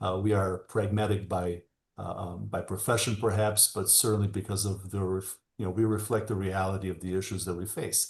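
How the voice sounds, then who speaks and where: Somewhat breathy and monotone, a man talks at a fairly quick pace and a fairly low pitch. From Albania, Tirana. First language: Albanian. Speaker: attorney and political candidate. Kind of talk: panel interview. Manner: halting, many fillers.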